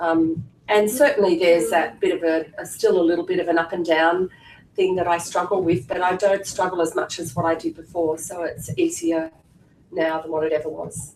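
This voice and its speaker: The speaker uses fairly even intonation and a moderate pace, in an Australian accent. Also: woman, fairly low pitch for a woman. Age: 50s. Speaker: clinic staff member and former patient. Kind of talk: personal testimony at information seminar. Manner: casual, hesitant with fillers.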